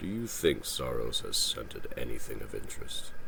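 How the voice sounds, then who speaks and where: A man puts on a character voice at a moderate pace while loud background noise plays behind him. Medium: read story. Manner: dry, teasing humor.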